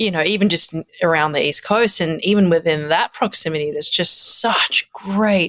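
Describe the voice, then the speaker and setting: A woman with an Australian accent and a fairly low pitch talks at a moderate pace with ordinary pitch variation. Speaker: musician. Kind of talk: casual chat.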